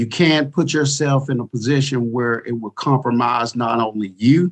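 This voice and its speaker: A man speaks with an Arkansas accent. His pitch variation is ordinary. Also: medium pitch for a man, moderate pace. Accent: Southern US (Arkansas). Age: 40s. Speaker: retired police chief. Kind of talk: podcast interview.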